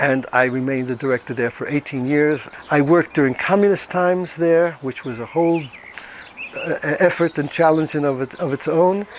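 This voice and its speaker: A man speaks at a fairly quick pace with an American accent, his pitch fairly high. His pitch moves in an ordinary way over noticeable background noise. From New York (Brooklyn). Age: 70s. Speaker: retired social welfare director. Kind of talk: interview testimony. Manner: hesitant with fillers.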